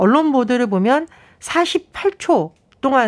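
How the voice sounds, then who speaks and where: This woman's pitch swings very widely as she talks. The recording itself is very clean against a silent background. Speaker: political commentator. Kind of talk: radio news briefing. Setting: radio studio.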